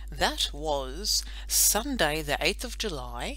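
The speaker uses a natural reading voice.

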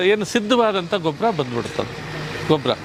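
A man's high-pitched voice with lively intonation over noticeable background noise. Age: 60s. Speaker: retired veterinarian and compost producer. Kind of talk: promotional interview. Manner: formal.

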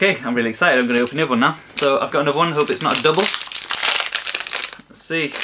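Against noticeable background noise, a man speaks very fast with ordinary pitch variation. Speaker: toy reviewer. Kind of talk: casual vlog chat. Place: home room. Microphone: webcam.

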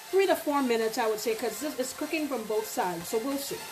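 Over clear background music, a woman speaks in a high pitch with ordinary pitch variation. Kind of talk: cooking tutorial. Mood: relaxed, cheerful. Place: kitchen. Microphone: camera far.

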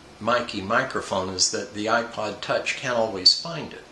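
Amid light background noise and audible room echo, a man talks at a fairly slow pace with ordinary pitch variation. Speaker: product reviewer. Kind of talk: review talk to camera. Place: home room. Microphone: camera far.

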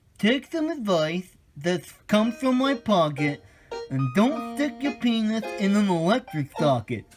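Faint music plays in the background as a fairly high-pitched voice speaks at a fairly slow pace. The pitch swings very widely. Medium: comedy sketch. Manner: goofy, earnest.

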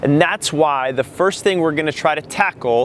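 Light noise runs behind the recording. A man talks, and the sound is dry with no echo. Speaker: running coach. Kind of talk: tutorial. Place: open country. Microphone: lapel.

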